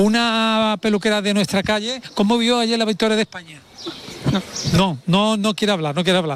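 This man's voice has a clear, smooth and fairly bright tone.

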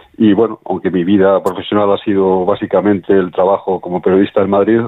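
A man talks at a fairly quick pace, his pitch low and barely moving.

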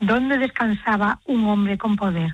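A woman's medium-pitched voice carries a slightly husky edge.

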